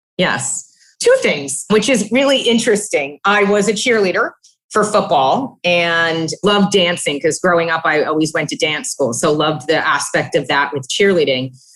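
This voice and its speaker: Lively intonation from a woman with a fairly low pitch and an American accent. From US Northeast, New Jersey. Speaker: payments executive. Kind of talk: interview. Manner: fast.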